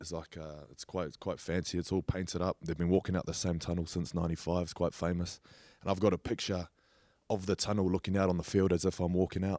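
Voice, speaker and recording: In a New Zealand accent, a man talks at a fairly quick pace in a very deep, low voice with a dark, mellow tone and monotone, flat intonation. The recording is very clean, with a silent background. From New Zealand, Auckland. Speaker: rugby league player. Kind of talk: casual chat.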